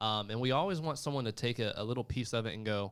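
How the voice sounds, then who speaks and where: A man with a slight Southern US accent speaks at a very fast pace in a medium pitch. The recording is very clean, with a silent background. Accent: slight country twang, southern. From Florida panhandle, US South. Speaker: insurance sales executive. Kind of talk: livestream interview. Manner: casual, many fillers.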